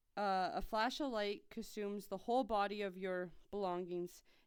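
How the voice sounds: The voice is a natural reading voice. Someone reads the words out.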